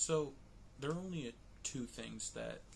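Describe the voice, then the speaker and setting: A man speaks quietly. His pace is fairly slow. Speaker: vlogger reviewing movies. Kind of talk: casual vlog commentary. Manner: quiet, lowered voice.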